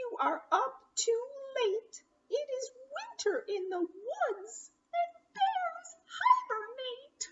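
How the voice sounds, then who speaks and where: A woman uses a squeaky, put-on character voice at an extremely high pitch. She speaks at a very slow pace. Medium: read story. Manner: fretful.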